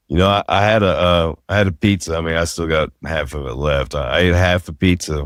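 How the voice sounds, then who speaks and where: In a Southern US accent, a man with a very deep, low pitch talks at a fairly quick pace with ordinary pitch variation and hardly any pauses. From US South. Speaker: podcast host. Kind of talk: casual chat.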